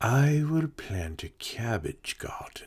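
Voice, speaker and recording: A man puts on a character voice at medium pitch. He speaks at a very slow pace. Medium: read story.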